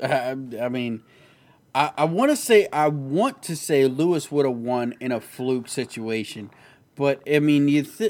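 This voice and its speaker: Recorded very cleanly against a silent background, a man with a plain, everyday voice speaks at a medium pitch with ordinary pitch variation and big swings in loudness. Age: 30s. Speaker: podcast host. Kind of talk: casual chat.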